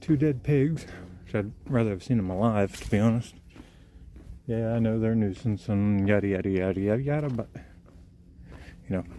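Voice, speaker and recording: The tone is dark and mellow, with ordinary pitch variation. Pauses are long and frequent, and the voice is quiet. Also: man, fairly low pitch for a man, fairly quick pace. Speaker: outdoor vlogger, wildlife photographer. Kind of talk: live-stream walking commentary. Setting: outdoors on a trail. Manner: quiet, kept low; casual, filler-heavy.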